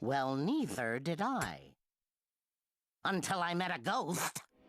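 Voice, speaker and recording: Delivered at a fairly slow pace, this cartoonish character voice sits at a middle pitch. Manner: theatrical, exaggerated.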